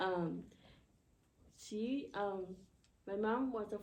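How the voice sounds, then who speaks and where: Amid audible room echo, a woman with a Spanish accent speaks with fairly even intonation. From Ecuador. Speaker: university student, panelist. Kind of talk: personal testimony on a panel. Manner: halting, many fillers.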